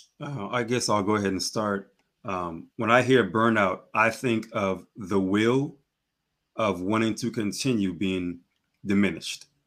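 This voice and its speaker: A man with a plain, everyday voice, fairly low in pitch, with fairly even intonation, on a very clean recording with a silent background. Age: 30s. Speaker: realtor, life coach and poet. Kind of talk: podcast conversation.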